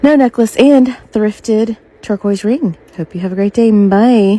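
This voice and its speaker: Quiet and breathy, the voice moves at a fairly slow pace with ordinary pitch variation in a dry, close sound with no echo. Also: woman. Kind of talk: casual outfit-of-the-day voiceover. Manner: breathy, hushed under covers.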